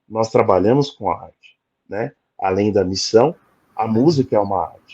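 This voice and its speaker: Speaking at a moderate pace and medium pitch, a man with a dark, mellow tone shows ordinary pitch variation and big swings in loudness. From Brazil, São Paulo. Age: 40s. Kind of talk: interview testimony. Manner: halting, many fillers.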